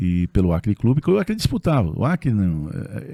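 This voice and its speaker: A man's dark, mellow tone with very wide pitch swings, in a dry, close sound with no echo on a very clean recording with a silent background. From São Paulo, Zona Norte. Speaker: construction company executive. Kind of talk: casual interview chat.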